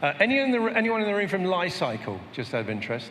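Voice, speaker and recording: A man talks at a very fast pace with lively intonation. Noticeable background noise and audible room echo surround him. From Britain. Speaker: panel moderator. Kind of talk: panel discussion. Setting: stage with audience.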